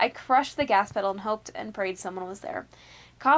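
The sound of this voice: An unforced reading voice carries ordinary pitch variation throughout.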